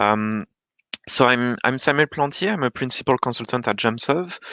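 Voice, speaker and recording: With a French accent, a man speaks fairly slowly at a medium pitch, his bright, sharp tone showing ordinary pitch variation, recorded with dry, close sound with no echo and a quiet background. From France. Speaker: data protection consultant. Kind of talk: panel discussion. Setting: online webinar.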